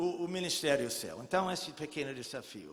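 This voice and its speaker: A man speaks at a moderate pace in a raised, projected voice with lively intonation, and the room echo is audible. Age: 70s. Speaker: pastor. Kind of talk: sermon.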